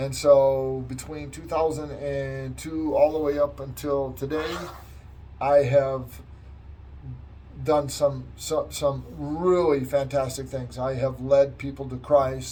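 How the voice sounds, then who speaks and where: In a very slow American accent, a man talks over noticeable background noise, with audible room echo around him. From US Midwest, Wisconsin. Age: 60s. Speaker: chaplain. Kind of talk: testimony. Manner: halting.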